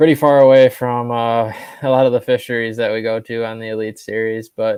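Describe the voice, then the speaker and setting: A man with an American accent talks at a moderate pace. His medium-pitched voice is monotone and flat. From Wisconsin, US Midwest. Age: 20s. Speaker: professional bass angler. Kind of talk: interview.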